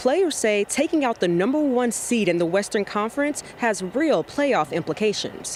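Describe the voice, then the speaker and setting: A woman at a moderate pace, her pitch swinging very widely, with noticeable background noise. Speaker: sports reporter and news anchor. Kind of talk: TV news anchoring and field reporting.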